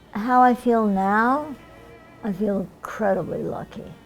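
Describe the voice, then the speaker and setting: Over music in the background, a woman with an American accent speaks at a fairly high pitch with fairly even intonation. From Germany. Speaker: Holocaust survivor. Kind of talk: oral history interview answer.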